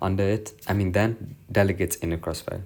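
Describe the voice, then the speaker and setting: With fairly even intonation, a man talks in a fairly low, somewhat breathy voice. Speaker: tutor. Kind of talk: recorded lesson summary. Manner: fast.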